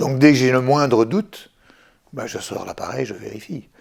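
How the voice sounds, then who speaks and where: The speaker is a man. His voice has vocal fry. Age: 60s. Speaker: retired French teacher, diabetes patient. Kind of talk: patient testimony. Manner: hesitant, many fillers.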